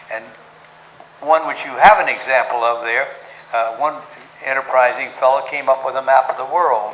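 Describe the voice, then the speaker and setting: Amid noticeable background noise, a man of medium pitch talks with fairly even intonation and long, frequent pauses. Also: moderate pace. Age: 80s+; old. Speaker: story-teller. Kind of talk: talk to a club audience about golf history.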